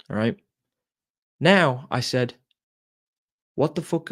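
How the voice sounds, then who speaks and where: A man with an Irish accent speaks at a moderate pace. His pitch sits in the medium range, and his intonation is lively. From Ireland. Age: 20s. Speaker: entrepreneur. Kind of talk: motivational talk.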